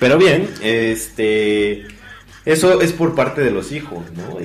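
With a Mexican accent, a man's voice makes very wide pitch swings amid audible room echo. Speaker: podcast co-host. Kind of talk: casual chat. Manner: animated.

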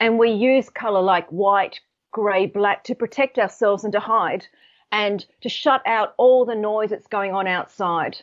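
This woman has an Australian accent and a fairly high pitch. She talks at a fairly slow pace with fairly even intonation. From Australia, Sydney. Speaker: colour psychology author and consultant. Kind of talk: interview.

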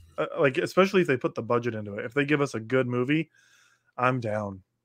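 A man at a medium pitch with an ordinary speaking voice. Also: quiet background. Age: 30s. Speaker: podcast co-host. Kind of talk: casual chat.

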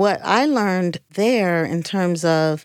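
A woman with an American accent speaks at a medium pitch with ordinary pitch variation. The recording is very clean, with a silent background. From Cleveland, Ohio. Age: 50s. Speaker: LGBT community center executive director. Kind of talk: casual interview conversation.

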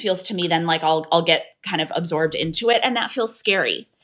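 A woman speaks in an ordinary speaking voice. Her pace is moderate and her pitch variation ordinary. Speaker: author. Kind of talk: casual interview chat. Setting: video call.

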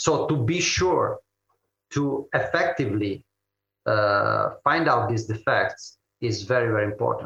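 A man speaks at a fairly slow pace with an Italian accent. His loudness stays very even. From Italy, Turin. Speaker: engineering company manager. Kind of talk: interview.

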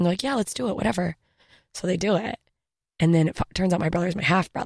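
A woman's animated, medium-pitched voice with ordinary pitch variation, in a dry, close sound with no echo. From Germany-born, raised in Southern Mississippi and Alaska. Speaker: stand-up comedian and podcast host. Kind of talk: casual interview chat. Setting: studio. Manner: fast talker; animated, self-deprecating.

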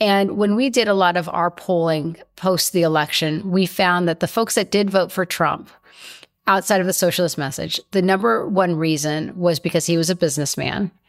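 A normal speaking voice: a woman's, fairly low in pitch, with an American accent, ordinary pitch variation and very even loudness at a moderate pace. The recording is very clean with a silent background. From Colombia, raised in the US. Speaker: advocacy group CEO. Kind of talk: interview.

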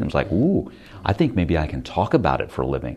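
A man with an American accent talks at a very fast pace in a very deep, low pitch with vocal fry. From US West Coast, Stockton, Northern California. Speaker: television news anchor. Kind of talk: interview.

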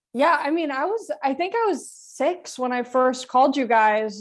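Against a quiet background, a woman with an American accent speaks at a fairly slow pace. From US West Coast, Long Beach, California. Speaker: comedian. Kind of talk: casual chat. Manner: slow, a little mumbly.

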